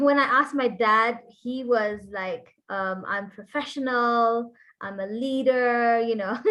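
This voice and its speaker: Loud and bright with a sharp tone, a woman speaks at a very slow pace, her fairly high pitch held in fairly even intonation. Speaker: marketing agency owner. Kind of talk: webinar presentation. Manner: conversational.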